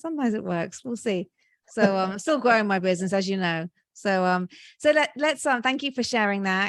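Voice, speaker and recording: A woman with a British accent, medium pitch and lively intonation at a fairly quick pace, over a quiet background. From Britain. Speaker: podcast host. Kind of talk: podcast interview.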